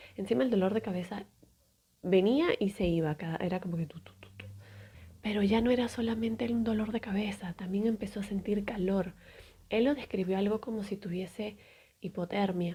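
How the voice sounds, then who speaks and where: A woman talks at a moderate pace with ordinary pitch variation. Her speech has long, frequent pauses. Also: medium pitch for a woman. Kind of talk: sleep story, storytelling narration of a true medical event.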